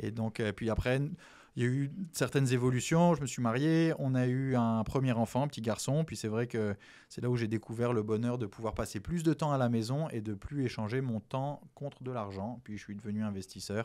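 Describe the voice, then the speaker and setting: A man's dark, mellow, medium-pitched voice at a moderate pace with ordinary pitch variation, on a very clean recording with a silent background. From French Antilles. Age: 40s. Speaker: real estate investor. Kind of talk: interview.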